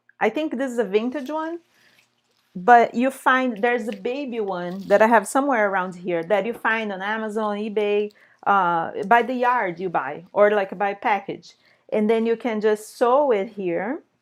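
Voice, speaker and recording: Speaking at a moderate pace with a Brazilian accent, a woman has a fairly high pitch and ordinary pitch variation. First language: Portuguese. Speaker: sewing teacher. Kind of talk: live online tutorial. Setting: live stream. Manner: casual, hesitant with fillers.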